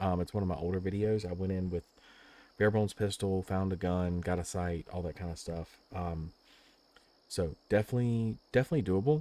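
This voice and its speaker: The speech comes at a very fast pace with a dark, mellow tone. Pitch varies in an ordinary way, on a very clean recording with a silent background. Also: man. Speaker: gaming YouTuber. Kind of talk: gameplay commentary wrap-up. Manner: soft-spoken, quieter than normal; casual with many filler words.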